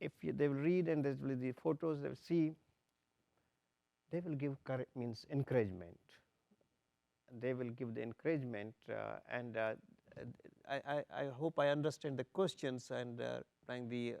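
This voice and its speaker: With a Pakistani accent, a man talks at a moderate pace in a medium pitch, his tone dark and mellow. He leaves long, frequent pauses, and the sound is dry and close with no echo. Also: ordinary pitch variation. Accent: Pakistani (Sindhi) English. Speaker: torture survivor, panelist. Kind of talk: panel discussion. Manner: halting.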